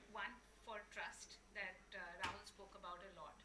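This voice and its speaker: A woman speaks at a medium pitch with monotone, flat intonation. Noticeable background noise and audible room echo are present. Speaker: panelist from a development bank. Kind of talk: panel discussion. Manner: loud.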